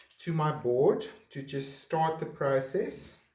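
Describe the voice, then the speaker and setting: There is audible room echo as a man speaks with a fairly high pitch, fairly even intonation, and a fairly slow pace. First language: not English. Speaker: art teacher. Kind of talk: tutorial. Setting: home art studio. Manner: halting.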